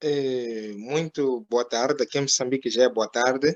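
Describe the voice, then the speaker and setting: A man with a Mozambican accent speaks at a very slow pace in a dry, close sound with no echo. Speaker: professor, local representative. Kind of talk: informal interview chat.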